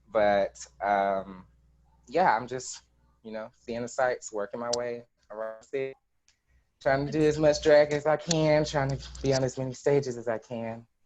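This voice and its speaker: With an American accent, a man speaks in an unremarkable speaking voice at medium pitch, with ordinary pitch variation and a moderate pace. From US South, Georgia (Carrollton). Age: 20s. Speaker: drag performer. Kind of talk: interview.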